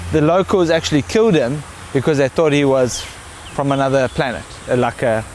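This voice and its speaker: With lively intonation and very even loudness, a man with a fairly high pitch talks at a fairly quick pace over noticeable background noise. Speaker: local guide. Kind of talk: casual chat.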